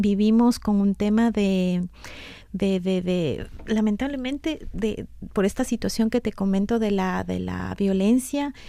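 A woman speaks at a fairly slow pace and medium pitch. Her tone is dark and mellow, her intonation fairly even. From Ecuador, Quito (highlands). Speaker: NGO worker. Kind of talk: radio interview. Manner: halting, many repetitions.

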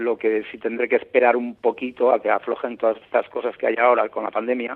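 At a fairly quick pace, a man speaks at a medium pitch in an unremarkable speaking voice. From Basque Country, Tolosa. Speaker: traveler and reporter. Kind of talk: interview. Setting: phone call.

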